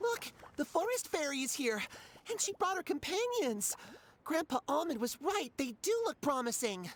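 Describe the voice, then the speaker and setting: A high-pitched, put-on character voice with very wide pitch swings at a moderate pace. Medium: fan dub. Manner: polite, wry.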